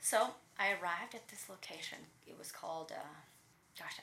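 A woman speaks with a Russian accent amid audible room echo. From Latvia (Riga), Russian-speaking. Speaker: personal trainer, former professional dancer. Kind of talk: interview.

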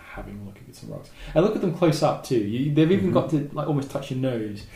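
A man at a very fast pace in an Australian accent, with lively intonation and audible room echo. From Southeast Australia. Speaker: volcanologist and geologist. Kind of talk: interview. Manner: halting.

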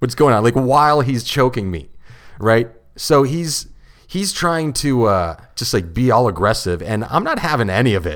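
In a very clean recording with a silent background, a man at medium pitch talks at a moderate pace with very wide pitch swings. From Ontario, Canada (St. Catharines). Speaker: stand-up comedian. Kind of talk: casual chat. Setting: studio.

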